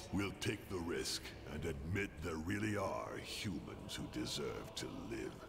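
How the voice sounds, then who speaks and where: A man puts on a character voice with a very deep, low pitch. He goes at a fairly slow pace amid loud background noise. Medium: video game. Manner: gruff, terse.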